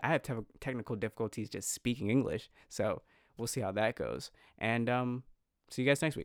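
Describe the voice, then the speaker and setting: A man with an American accent and a normal speaking voice, medium in pitch, fairly quick, with fairly even intonation, in a very clean recording with a silent background and a dry, close sound with no echo. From New York. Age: 20s. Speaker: podcast host. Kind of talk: casual chat.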